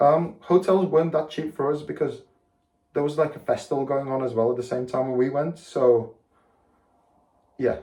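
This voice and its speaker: His voice is somewhat breathy, with a dark, mellow tone and fairly even intonation. The man leaves long, frequent pauses. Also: fairly high pitch for a man, moderate pace. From Latvia, moved to England at ten. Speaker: football shirt collector, vlogger. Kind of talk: casual show-and-tell monologue. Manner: halting, many fillers and restarts.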